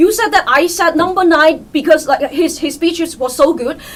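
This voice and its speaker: A woman's extremely high voice at a fairly quick pace, with noticeable background noise. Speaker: mafia game player. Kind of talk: game discussion. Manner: fast.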